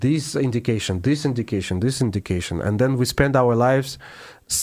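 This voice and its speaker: Recorded very cleanly against a silent background, a man with a Russian accent speaks at medium pitch and a moderate pace, with ordinary pitch variation. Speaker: classical pianist. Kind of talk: interview. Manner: halting.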